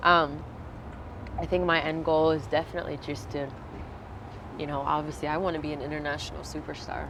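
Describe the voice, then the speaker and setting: Amid noticeable background noise and audible room echo, a woman with an American accent speaks at a fairly quick pace in a very deep, low voice, her intonation monotone and flat, with long, frequent pauses. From Virginia, US. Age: 20s. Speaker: singer. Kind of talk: interview.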